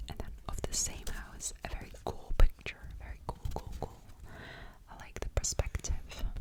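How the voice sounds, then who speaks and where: Whispering at a fairly slow pace, a woman varies widely in loudness over noticeable background noise. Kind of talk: ASMR show and tell, casual talk to camera. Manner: whispered.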